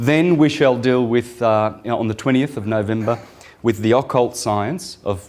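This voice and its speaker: This man talks at a moderate pace in a medium pitch. Noticeable background noise sits behind his voice. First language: Italian. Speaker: esoteric lecturer. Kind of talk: lecture. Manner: halting, many fillers.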